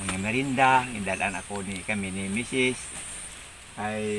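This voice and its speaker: A man speaks at a fairly low pitch and a fairly slow pace, with fairly even intonation. Background noise is noticeable. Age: 70s. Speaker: farmer. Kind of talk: casual vlog talk to camera.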